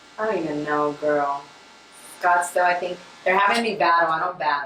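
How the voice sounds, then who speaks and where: With audible room echo and noticeable background noise, a woman talks at a fairly quick pace, her pitch fairly low with ordinary variation. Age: 30s. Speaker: rapper and singer. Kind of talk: casual chat.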